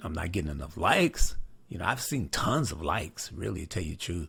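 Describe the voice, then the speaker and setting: This man's voice is very deep and low in pitch, and somewhat breathy. The recording is very clean, with a silent background. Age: 60s. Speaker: headlight restoration trainer, channel owner. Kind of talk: casual announcement to viewers. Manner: hesitant, many fillers (uh, you know).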